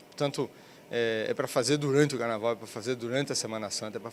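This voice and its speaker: Very fast talking from a man with a medium-pitched voice. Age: 60s. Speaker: business agency president. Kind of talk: interview. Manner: halting, many fillers.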